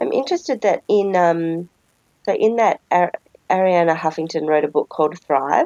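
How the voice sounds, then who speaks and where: A woman's fairly low, dark, mellow voice with an Australian accent, ordinary pitch variation, very even loudness and a moderate pace, in a dry, close sound with no echo. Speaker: podcast co-host. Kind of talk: casual chat. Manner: animated.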